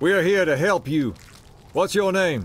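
A man puts on a character voice pitched high for a man, speaking at a fairly slow pace with a slightly husky edge and lively intonation.

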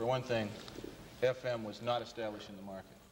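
A man talks at a fairly quick pace. Light background noise runs underneath. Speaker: radio interviewee. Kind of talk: interview answer. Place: studio.

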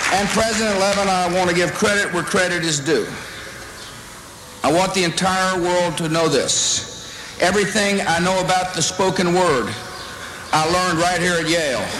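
Over noticeable background noise, a man with an American accent speaks in a high pitch, his loudness very even and his intonation fairly even. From Texas. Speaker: politician. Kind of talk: commencement speech. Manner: humorous, self-deprecating. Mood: humorous, self-deprecating. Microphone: podium.

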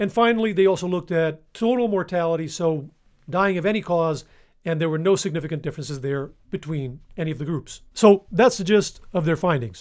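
A man's high-pitched voice at a fairly quick pace, with ordinary pitch variation, in a quiet background. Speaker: nutrition science educator. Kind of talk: explainer video. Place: home room. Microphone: studio mic.

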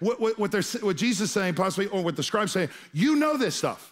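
A man's voice swings very widely in pitch. The background is quiet. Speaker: pastor. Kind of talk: sermon. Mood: humorous, playful asides. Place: stage. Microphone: headset.

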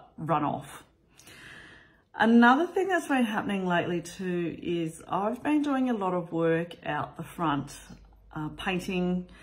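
A woman with an Australian accent speaks at a fairly slow pace, somewhat breathy and fairly low in pitch. Her pitch swings very widely. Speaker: vlogger. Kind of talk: casual vlog talk. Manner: casual, with frequent fillers. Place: home room. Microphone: phone near.

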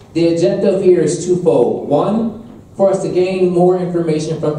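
A man talks at a moderate pace. The room echo is audible, with light noise behind him. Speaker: event host or moderator. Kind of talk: opening remarks to an audience. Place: hall.

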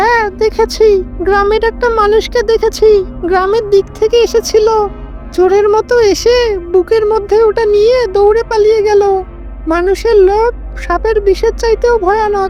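A female-sounding cartoonish character voice, pitched extremely high, goes at a moderate pace over clear music in the background.

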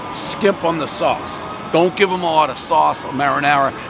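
Clear music plays in the background while a man talks at a moderate pace with ordinary pitch variation. The sound is dry with no echo. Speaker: food reviewer. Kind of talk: casual review commentary. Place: street.

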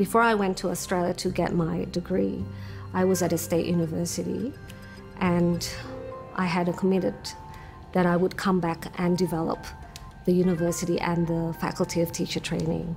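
A moderate pace with fairly even intonation and long, frequent pauses, over clear music in the background. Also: woman, fairly low pitch for a woman. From Sydney, Australia (until 14), Indonesian family. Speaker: university lecturer, English teacher. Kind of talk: interview answer. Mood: reflective, earnest. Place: home room. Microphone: lapel.

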